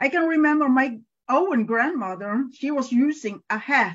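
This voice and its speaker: A woman's high-pitched voice with lively intonation at a moderate pace, over a quiet background. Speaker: evangelist. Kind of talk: online panel talk. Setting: video call. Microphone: video call.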